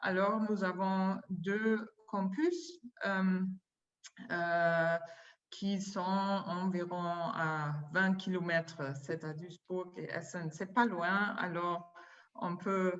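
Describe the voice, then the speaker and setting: A woman with a non-native accent speaks very slowly at a medium pitch, her intonation fairly even, with long, frequent pauses and audible room echo. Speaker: university administrator. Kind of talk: conference presentation. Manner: halting, many hesitations.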